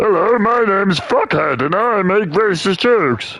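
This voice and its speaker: Moderate speed and a middle pitch in a put-on character voice. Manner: mocking.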